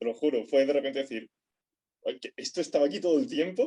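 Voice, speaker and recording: A man's fairly high-pitched voice with a dark, mellow tone, at a very fast pace. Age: 20s. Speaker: physics student. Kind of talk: interview. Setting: remote recording.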